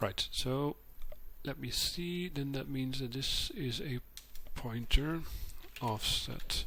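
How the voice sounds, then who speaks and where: A man speaks quietly at a very slow pace, with long, frequent pauses. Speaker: modding tutorial maker. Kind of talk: screen-capture tutorial narration. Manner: quiet, subdued.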